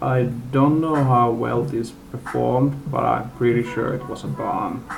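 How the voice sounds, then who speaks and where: Music plays in the background while a man speaks at a fairly slow pace. The room echo is audible. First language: not English. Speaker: movie reviewer. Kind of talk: unscripted rant. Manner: halting, many fillers. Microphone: poor camera mic.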